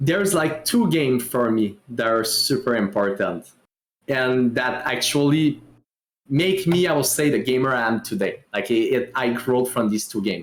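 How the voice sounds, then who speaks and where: Keeping a very even loudness, a man with a French Canadian accent speaks at medium pitch and a moderate pace with lively intonation. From Quebec. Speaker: streamer. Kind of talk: casual chat.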